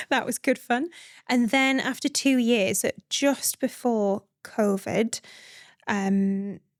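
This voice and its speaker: A woman with a northeast English accent speaks at a high pitch and a very slow pace. Her pitch varies in an ordinary way, and the recording is very clean with a silent background. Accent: northeast English accent noticeable. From northeast England, Northumberland. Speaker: midwife and founder. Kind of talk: podcast interview. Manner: conversational with many fillers.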